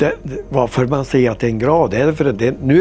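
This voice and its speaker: With music in the background, a man talks at a medium pitch with ordinary pitch variation. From northern Sweden, Vännes. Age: 80s+. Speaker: farmer. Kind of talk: life story interview, reminiscing.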